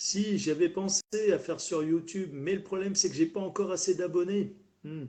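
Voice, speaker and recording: Using fairly even intonation, a man with a high pitch speaks at a moderate pace. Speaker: live streamer. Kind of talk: casual live stream chat. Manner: halting, stumbling.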